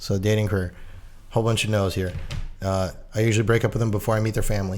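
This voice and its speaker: Over music in the background, a man with a fairly low pitch talks at a very fast pace in a monotone, flat intonation and very even loudness. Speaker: podcast co-host. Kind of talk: casual chat. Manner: deadpan.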